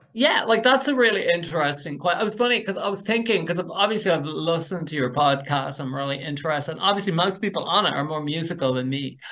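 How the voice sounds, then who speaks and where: Over noticeable background noise, a man with a Dublin accent talks very fast with hardly any pauses, high in pitch and with lively intonation. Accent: Dublin Irish. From Ireland, North Dublin. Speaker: university program director. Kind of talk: interview.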